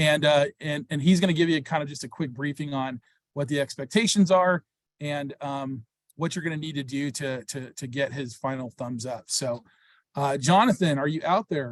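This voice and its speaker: A man with an ordinary speaking voice talks at a moderate pace and a fairly high pitch, with ordinary pitch variation and a dry, close sound with no echo. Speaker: program organizer. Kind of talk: informational webinar.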